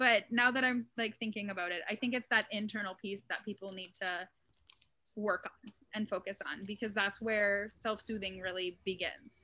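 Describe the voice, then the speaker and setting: This woman has a plain, everyday voice at a medium pitch. Her intonation stays fairly even. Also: moderate pace. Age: 30s. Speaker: mental health content creator. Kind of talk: casual interview.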